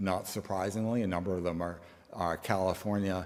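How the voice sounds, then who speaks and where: Speaking fairly quickly, a man delivers his words with flat, monotone intonation. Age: 70s. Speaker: company CEO. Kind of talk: conference talk.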